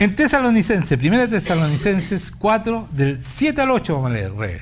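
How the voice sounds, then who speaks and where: Amid audible room echo, a man speaks in an animated tone at a moderate pace, his pitch swinging very widely. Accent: Chilean. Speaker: pastor. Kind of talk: sermon.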